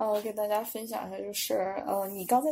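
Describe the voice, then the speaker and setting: A woman's fairly high voice with a Northeastern Chinese accent. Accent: Northeastern Mandarin. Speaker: Chinese language teacher with pharmacy and medical degrees. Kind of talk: casual interview chat.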